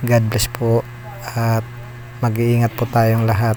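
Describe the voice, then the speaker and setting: Noticeable background noise sits behind a soft-spoken man. His medium-pitched voice is monotone, with flat intonation. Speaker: vlogger from fishing family. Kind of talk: vlog voice-over. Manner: soft-spoken, lowered voice.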